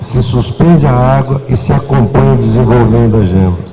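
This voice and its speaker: A man speaks at a moderate pace with lively intonation and a medium pitch, over noticeable background noise. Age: old. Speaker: coffee researcher. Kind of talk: panel debate.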